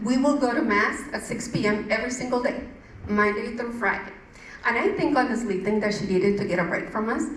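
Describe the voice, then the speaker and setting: A woman with a strong Mexican accent speaks at a fairly quick pace. Audible room echo and noticeable background noise surround her voice. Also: ordinary pitch variation. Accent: thick Mexican Spanish. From Mexico. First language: Spanish. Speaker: churchgoer giving testimony. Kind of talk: testimony. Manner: halting, with many fillers.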